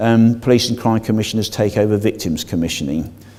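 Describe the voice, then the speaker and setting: Against noticeable background noise, a man talks at a very fast pace, his fairly low pitch showing ordinary variation. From Devon. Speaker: police and crime commissioner. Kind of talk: public meeting presentation. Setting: public meeting hall with audience.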